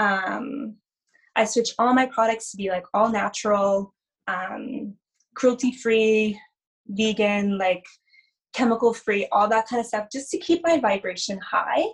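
A woman with a Canadian accent speaks at a fairly slow pace, somewhat breathy. Her pitch is fairly high, with ordinary variation. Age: 30s. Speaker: spiritual energy healer. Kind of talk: casual interview chat.

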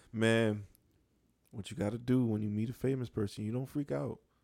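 With an American accent, a man speaks at medium pitch and a moderate pace in a dark, mellow tone. His pitch variation is ordinary, and the recording is very clean with a silent background. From Buffalo, New York. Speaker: sports podcast co-host. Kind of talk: casual chat.

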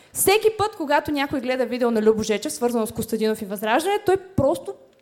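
Against noticeable background noise, a woman talks at a very fast pace with very wide pitch swings. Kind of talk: stand-up comedy roast set. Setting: stage with live audience.

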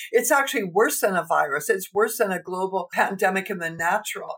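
With a Canadian accent, a woman speaks in a plain, everyday voice at a medium pitch, with hardly any pauses. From Canada. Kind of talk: interview testimony and teaching.

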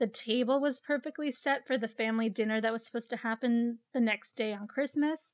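On a very clean recording with a silent background, a woman speaks high for a woman at a fairly quick pace, with ordinary pitch variation and hardly any pauses. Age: 20s. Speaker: true crime podcast host. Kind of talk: casual true crime narration. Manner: chatty, filler-heavy.

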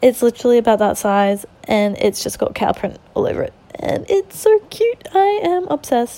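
A woman speaks in an Australian accent with hardly any pauses. The sound is dry and close, with no echo. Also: moderate pace. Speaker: podcaster. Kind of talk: casual monologue. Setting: lying in bed at home. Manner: rambling, with fillers and laughs.

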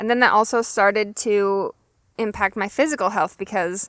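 A woman's medium-pitched, unremarkable speaking voice at a fairly quick pace, with fairly even intonation, on a very clean recording with a silent background. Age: 20s. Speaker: podcast host. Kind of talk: solo podcast monologue. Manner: casual.

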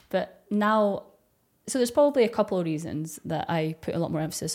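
On a very clean recording with a silent background, a woman speaks with a Scottish accent. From Dundee, Scotland. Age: 30s. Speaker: ASMR YouTuber. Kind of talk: casual podcast interview.

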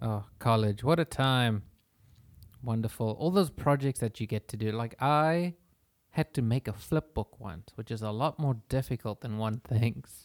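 On a very clean recording with a silent background, dry and close with no echo, a man speaks at a medium pitch with ordinary pitch variation. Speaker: podcast host, freelance writer. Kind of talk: casual chat. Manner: halting, repeats words.

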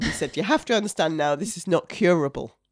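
A woman with a Yorkshire accent at a fairly quick pace, with ordinary pitch variation. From Yorkshire, York. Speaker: cancer survivor and mother. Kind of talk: testimony.

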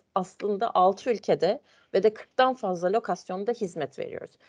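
A woman speaks at a moderate pace and medium pitch, with ordinary pitch variation and a dry, close sound with no echo. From Turkey, Ankara. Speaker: internal control manager. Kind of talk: interview. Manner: hesitant, many fillers.

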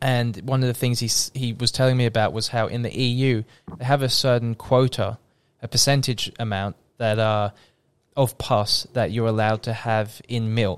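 On a very clean recording with a silent background, a man speaks with an Australian accent at a moderate pace, with medium pitch and monotone, flat intonation. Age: 20s. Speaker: podcast co-host. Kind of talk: casual chat. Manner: halting, repeats words.

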